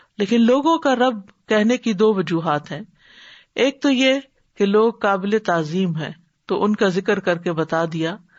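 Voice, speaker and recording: Lively intonation runs through this woman's normal speaking voice. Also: medium pitch for a woman. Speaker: Islamic scholar. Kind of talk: Islamic religious lecture.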